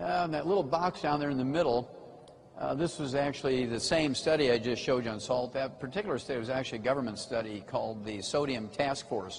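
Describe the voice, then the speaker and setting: A man at a very fast pace, medium in pitch with ordinary pitch variation, amid audible room echo. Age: 70s. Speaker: health lecturer promoting supplements. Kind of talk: lecture. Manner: animated.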